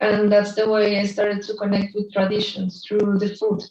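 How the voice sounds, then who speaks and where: Speaking in a Spanish accent, a woman talks at a medium pitch. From Colombia, Bogota. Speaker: artist and illustrator. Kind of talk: presentation. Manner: halting.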